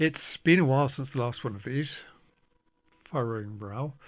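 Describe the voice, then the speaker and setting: Quiet and medium in pitch, a man speaks with ordinary pitch variation on a very clean recording with a silent background. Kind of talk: casual monologue to camera. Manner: slow, halting.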